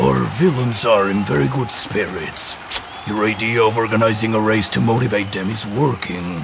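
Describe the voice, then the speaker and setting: Over clear background noise, a man does a cartoonish character voice at a fairly low pitch and a moderate pace. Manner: arrogant, menacing, bad-tempered.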